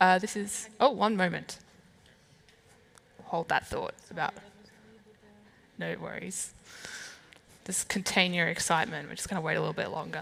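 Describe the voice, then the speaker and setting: With an Australian accent, a woman talks with vocal fry and lively intonation, her loudness swinging widely and her speech broken by long, frequent pauses. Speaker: event moderator. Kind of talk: speaker introduction.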